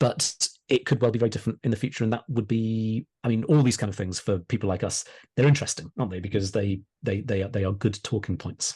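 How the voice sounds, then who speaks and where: Talking at a very fast pace, a man has a medium-pitched, somewhat breathy voice. His tone is dark and mellow, with ordinary pitch variation. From Wales, Pembrokeshire. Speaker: historian and author. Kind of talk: podcast interview. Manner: hesitant, repeats words.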